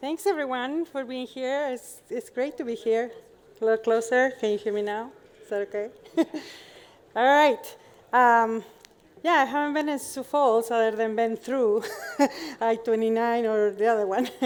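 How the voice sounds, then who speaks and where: A woman with a Chilean accent speaks at a moderate pace in a high pitch. She leaves long, frequent pauses. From Chile, Santiago. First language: Spanish. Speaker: professor. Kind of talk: conference talk.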